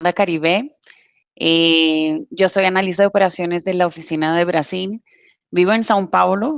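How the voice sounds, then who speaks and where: Over a quiet background, the voice holds very even loudness at a fairly slow pace with ordinary pitch variation. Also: woman, fairly low pitch for a woman. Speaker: operations analyst. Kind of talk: live webinar Q&A. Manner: halting, many fillers.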